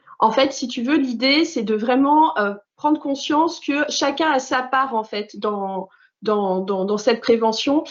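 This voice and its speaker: A woman talks at a very slow pace. Her high voice shows ordinary pitch variation. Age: 40s. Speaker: management trainer. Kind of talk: interview. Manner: hesitant, many fillers.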